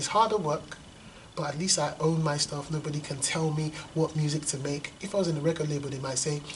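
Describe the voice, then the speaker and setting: A man talks very fast with a fairly high pitch and fairly even intonation. Noticeable background noise sits behind him. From London and Lagos, Nigeria. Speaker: poet and hip hop artist. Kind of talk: interview. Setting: school.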